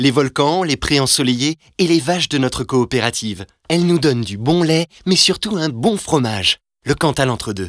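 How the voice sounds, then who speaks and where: Speaking at a moderate pace, a man uses a normal speaking voice with a fairly high pitch and lively intonation, the sound dry and close with no echo. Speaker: voice actor. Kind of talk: corporate narration.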